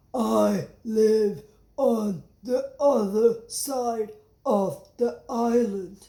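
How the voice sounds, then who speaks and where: The speaker uses a put-on character voice with a fairly high pitch. Delivery is very slow. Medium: read story.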